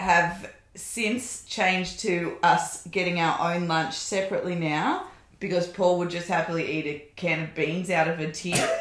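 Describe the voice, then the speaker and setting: A woman with an Australian accent, fairly low in pitch, at a moderate pace and with fairly even intonation, amid audible room echo and noticeable background noise. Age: 30s. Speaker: podcast guest, host's wife. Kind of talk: casual chat.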